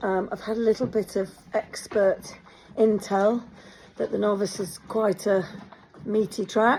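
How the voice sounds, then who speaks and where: A woman with an English accent talks at a medium pitch. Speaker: horse rider vlogger. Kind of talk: casual vlog. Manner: hesitant fillers.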